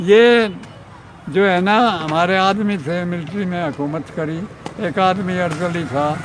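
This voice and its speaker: The pitch moves in an ordinary way. Background noise is noticeable throughout. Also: man, high pitch for a man. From Haryana, India. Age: 80s+. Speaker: former police officer. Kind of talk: interview answer.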